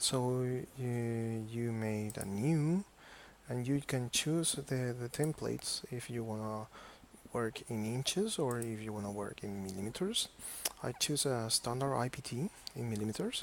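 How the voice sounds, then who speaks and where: A man with a non-native accent at a medium pitch and a fairly slow pace. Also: ordinary pitch variation. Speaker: software tutorial maker. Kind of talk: tutorial. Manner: halting, many fillers and repetitions.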